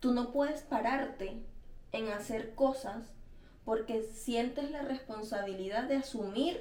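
A woman's fairly high voice with a Venezuelan accent at a fairly slow pace, with audible room echo and noticeable background noise. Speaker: podcast co-host. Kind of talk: casual chat.

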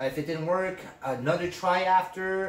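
Against noticeable background noise, a man speaks at a moderate pace in a high pitch. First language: not English. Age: 20s. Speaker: podcast host, fragrance hobbyist. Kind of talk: casual chat.

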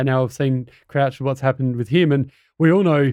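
This man talks at a very fast pace with an Australian accent. His pitch is fairly high. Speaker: podcast host. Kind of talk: casual interview.

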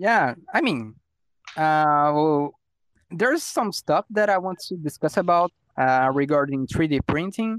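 Recorded very cleanly against a silent background, the speaker talks at a fairly slow pace in a Brazilian accent. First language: Portuguese. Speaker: podcast host. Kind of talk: casual chat, podcast recording. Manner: casual, hesitant, animated.

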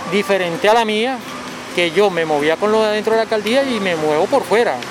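At a fairly quick pace, a man talks with lively intonation against noticeable background noise. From Venezuela. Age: 40s. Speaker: street coffee vendor. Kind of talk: interview.

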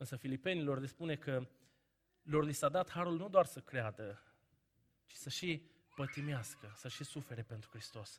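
A man talks at a moderate pace in a fairly high, somewhat breathy voice, with ordinary pitch variation, big swings in loudness and long, frequent pauses. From Romania, Banat (Caraș-Severin, Anina). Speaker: preacher. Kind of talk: sermon.

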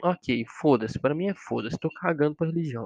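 This man has a normal speaking voice. His pitch is fairly high and his pace fairly quick. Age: 20s. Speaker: podcast host, psychology student. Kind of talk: casual solo monologue.

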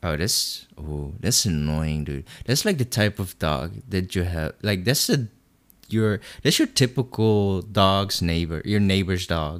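A man with a non-native accent and a very deep, low pitch, lively intonation at a fairly slow pace, on a very clean recording with a silent background. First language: not English. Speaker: podcast co-host. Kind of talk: casual chat.

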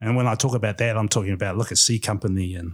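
In a very clean recording with a silent background, the speaker talks at a fairly quick pace, somewhat breathy, with ordinary pitch variation. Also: man. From New Zealand, Gisborne. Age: 40s. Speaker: tech community organiser. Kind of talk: interview.

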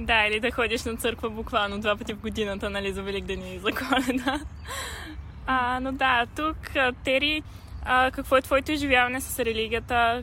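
Noticeable background noise sits behind a woman whose fairly high voice moves at a moderate pace with fairly even intonation. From Bulgaria. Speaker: podcast host. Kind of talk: casual chat. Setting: outdoors in a park.

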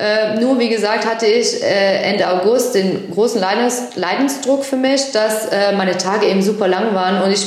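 There is noticeable background noise and audible room echo. A woman talks at a moderate pace, her fairly high pitch showing ordinary variation. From German-speaking Belgium. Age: 30s. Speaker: podcast co-host, colour and style consultant. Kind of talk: casual chat.

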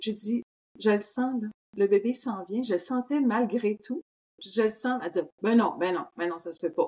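A woman with a fairly high voice talks at a fairly slow pace. She leaves long, frequent pauses. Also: ordinary pitch variation. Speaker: somatic movement educator. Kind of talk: casual chat.

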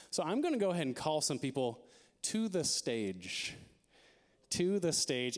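On a very clean recording with a silent background, a man speaks at a moderate pace in an animated, playful tone with very wide pitch swings. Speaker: campus ministry director and preacher. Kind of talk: sermon to a student crowd, mixing jokes and storytelling with Bible teaching. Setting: church hall with a live student audience. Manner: animated, playful and energetic, with jokes, crowd call-outs and a warm, earnest tone.

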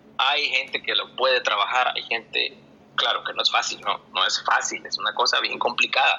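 Noticeable background noise is heard as a man talks at a moderate pace. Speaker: astronomy popularizer and research methodologist. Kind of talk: online audio space discussion. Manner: halting.

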